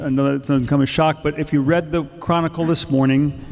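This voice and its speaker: Noticeable background noise sits behind a man with a fairly high voice. His intonation is fairly even. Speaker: retired affordable housing specialist. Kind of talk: panel talk.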